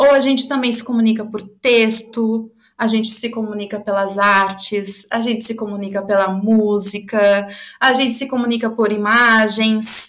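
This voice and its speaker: Her pitch sits fairly high, and the intonation stays monotone and flat. The woman speaks at a fairly slow pace. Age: 30s. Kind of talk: testimony.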